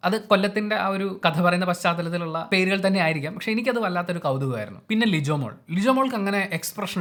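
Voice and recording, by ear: Talking at a very fast pace, a man uses a high pitch, a fairly bright tone and lively intonation.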